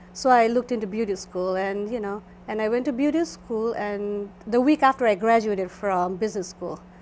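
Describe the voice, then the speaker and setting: A woman with a Nepali accent talks at a fairly quick pace, her fairly high voice showing ordinary pitch variation. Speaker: esthetician. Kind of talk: interview.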